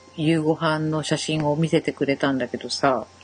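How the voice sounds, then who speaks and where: A woman speaks at a fairly low pitch with ordinary pitch variation. There is noticeable background noise. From Shimane, western Japan. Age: 40s. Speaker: podcast co-host. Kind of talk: casual chat.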